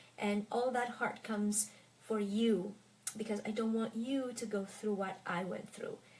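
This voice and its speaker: A woman's somewhat breathy, fairly high voice, fairly slow, with ordinary pitch variation. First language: French. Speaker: French tutor. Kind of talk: casual Q&A talk to viewers. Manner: careful enunciation; hesitant with fillers.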